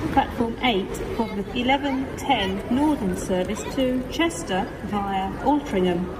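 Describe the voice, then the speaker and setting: A woman with a fairly high pitch and lively intonation speaks very slowly yet with hardly any pauses. Noticeable background noise is present. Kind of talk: train station announcement. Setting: train station PA system.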